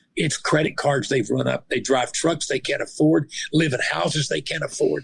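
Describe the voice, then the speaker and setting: A man talks at a moderate pace. He has a Southern US accent. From Arkansas. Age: 60s. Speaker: retired police officer and minister. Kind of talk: interview. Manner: animated.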